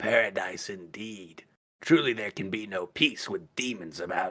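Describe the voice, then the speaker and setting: A man puts on a raspy character voice, pitched fairly low and delivered at a moderate pace. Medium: actual play. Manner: formal, flattering.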